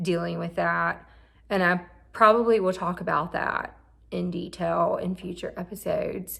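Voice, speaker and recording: A woman talks at a moderate pace on a very clean recording, with a silent background. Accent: strong Southern US. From Mississippi. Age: 30s. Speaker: therapist and vlogger. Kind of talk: personal vlog monologue. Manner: halting.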